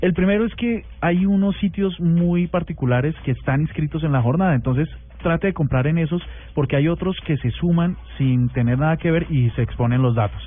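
Keeping his loudness very even, a man with a plain, everyday voice speaks at a moderate pace, fairly high in pitch, with lively intonation. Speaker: radio co-host. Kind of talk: casual chat.

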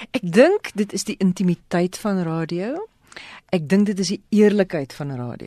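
A woman with a dark, mellow tone speaks at medium pitch with lively intonation and big swings in loudness. The sound is dry and close, with no echo. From South Africa, Western Cape (Ceres). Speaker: radio presenter. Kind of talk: radio interview.

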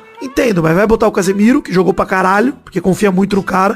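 A high-pitched man at a very fast pace, ordinary pitch variation, music in the background. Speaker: football podcast host. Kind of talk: casual chat. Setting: live stream.

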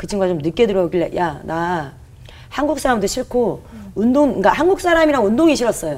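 A woman with a medium pitch talks at a fairly quick pace. Her tone is energetic, with very wide pitch swings. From South Korea, Gunsan (North Jeolla). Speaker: comedian. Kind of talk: testimony.

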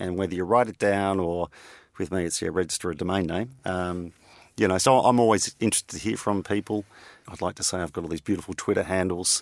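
Very fast speech in an Australian accent, with fairly even intonation, a dry, close sound with no echo, and a very clean recording with a silent background. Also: man, very deep, low pitch for a man. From Australia (Victoria). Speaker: energy company CEO and entrepreneur. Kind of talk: interview. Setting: studio.

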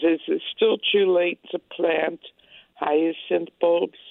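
The speaker has an American accent and fairly even intonation. The pace is very slow. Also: woman. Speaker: caller. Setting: phone call.

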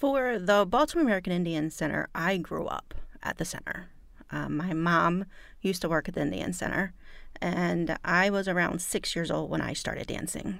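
A woman talks at a moderate pace on a very clean recording, the background silent. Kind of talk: casual interview chat.

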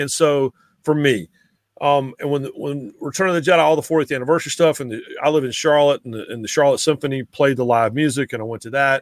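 A man with a Southern accent talks at a very fast pace in a fairly high voice, with ordinary pitch variation, big swings in loudness, and a dry, close sound with no echo. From eastern North Carolina (Raleigh). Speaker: sports writer. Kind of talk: casual chat.

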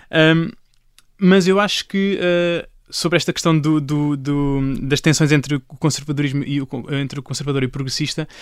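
On a very clean recording with a silent background, a man speaks at a fairly high pitch and a moderate pace with fairly even intonation. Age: 20s. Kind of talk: panel discussion. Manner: halting.

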